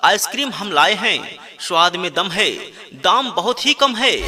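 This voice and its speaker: A man speaks in a raised, projected voice. His intonation is lively. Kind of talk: street vendor loudspeaker advertisement. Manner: energetic, persuasive sales pitch.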